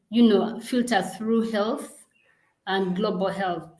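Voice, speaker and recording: A woman with a somewhat breathy, medium-pitched voice speaks with fairly even intonation amid audible room echo. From Uganda. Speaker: global health program director. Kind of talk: interview.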